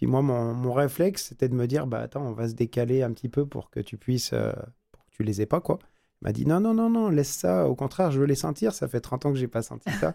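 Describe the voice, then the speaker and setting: Lively intonation and a dark, mellow tone mark a man speaking at a fairly quick pace. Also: medium pitch for a man. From France. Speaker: business owner. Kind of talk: radio interview. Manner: halting.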